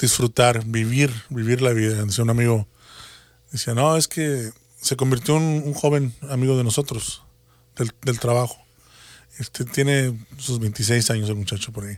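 A man talks at a fairly slow pace, leaving long, frequent pauses. His medium pitch carries fairly even intonation. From Mexico, Matamoros, Tamaulipas. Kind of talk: religious talk show chat.

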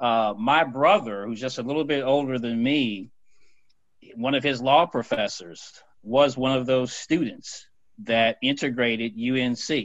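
A man's ordinary speaking voice with an American accent, medium in pitch, at a fairly slow pace and with ordinary pitch variation. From North Carolina (Fayetteville). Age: 50s. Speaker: newspaper opinion editor. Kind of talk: casual panel discussion.

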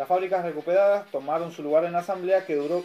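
Over music in the background, a man speaks at a fairly quick pace in a high pitch. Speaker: community radio host. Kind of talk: news reading.

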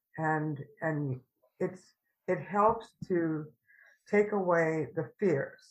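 Very slow speech from a woman with fairly low pitch and ordinary pitch variation, over a quiet background. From New Orleans, Louisiana. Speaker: vintner and memoir author. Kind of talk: interview.

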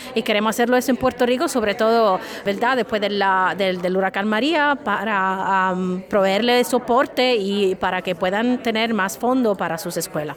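With an Italian accent, a woman speaks at medium pitch and a moderate pace, with hardly any pauses. Her pitch variation is ordinary, and noticeable background noise runs underneath. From Italy, Sicily. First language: Italian (speaking Spanish). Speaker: professor. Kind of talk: interview. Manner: halting, many fillers and repetitions.

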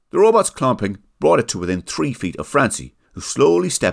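On a very clean recording with a silent background, a man with an Irish accent and vocal fry speaks at a moderate pace with lively intonation.

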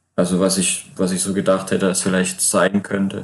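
A moderate pace with monotone, flat intonation. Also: man. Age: 20s. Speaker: player-coach, former semi-pro footballer. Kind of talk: casual chat. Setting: remote call.

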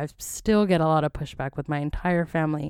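A woman talks at a moderate pace. Her pitch is fairly low, with ordinary variation. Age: 20s. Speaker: podcast host. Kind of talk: casual solo monologue. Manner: loud; animated.

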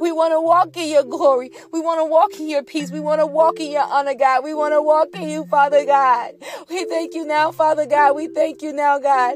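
A woman speaks at a moderate pace in a high pitch, with ordinary pitch variation, big swings in loudness and an animated, playful tone. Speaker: podcaster. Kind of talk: fervent prayer. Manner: pleading, earnest, repeating 'God' rhythmically; animated, sassy, playful.

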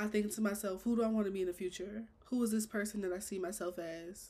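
A woman speaks at a very fast pace. Her intonation is fairly even and her voice somewhat breathy. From Chicago. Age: 20s. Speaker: podcast host. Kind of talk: casual monologue.

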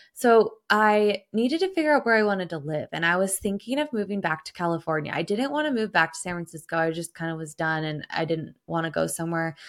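A fairly low-pitched woman with a western US accent and ordinary pitch variation, on a very clean recording with a silent background. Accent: western US American. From Idaho, US. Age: 30s. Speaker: podcaster. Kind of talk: casual solo podcast monologue.

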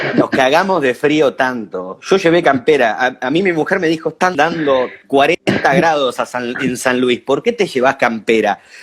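A man with an Argentine accent at a fairly slow pace, fairly high in pitch with lively intonation, very even loudness and hardly any pauses, over noticeable background noise. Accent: Rioplatense Argentine Spanish. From Argentina, Buenos Aires province. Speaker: DJ and music producer. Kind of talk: casual chat. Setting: video call.

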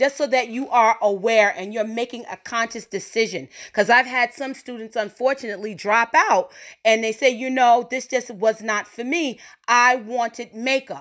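Against a silent background in a very clean recording, a woman with an unremarkable speaking voice and an American accent talks at a moderate pace, her fairly high pitch showing ordinary variation and her loudness swinging widely. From New York. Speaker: podcast host and cosmetology educator. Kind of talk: casual monologue.

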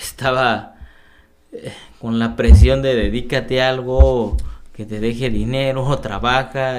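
A man talks at a very slow pace, and the room echo is audible. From Oaxaca, Mexico. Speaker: sociologist and cycling activist. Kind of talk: interview conversation. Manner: halting, many fillers.

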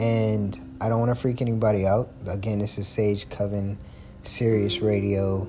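Over noticeable background noise, a man with a fairly low pitch talks at a moderate pace, using ordinary pitch variation and very even loudness. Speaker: podcast host. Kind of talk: storytelling monologue. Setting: home recording from bed.

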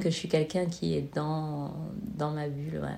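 A woman's very deep, low-pitched voice with a dark, mellow tone at a very slow pace. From southern France, Marseille. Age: 30s. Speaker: podcast guest. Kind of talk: casual chat. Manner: halting, many hesitations.

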